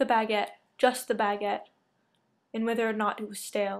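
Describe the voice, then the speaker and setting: A woman speaks in a monotone with flat intonation, recorded very cleanly over a silent background. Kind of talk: art film narration.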